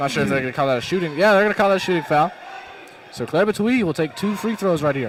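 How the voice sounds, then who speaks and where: Amid noticeable background noise, a man with an American accent talks at a very fast pace with high pitch and lively intonation. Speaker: play-by-play announcer. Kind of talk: live commentary.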